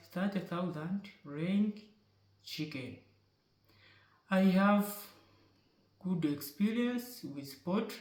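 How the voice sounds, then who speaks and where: Very slowly, a man with a high voice speaks with lively intonation. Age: 20s. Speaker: poultry farm worker. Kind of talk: job application video. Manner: formal.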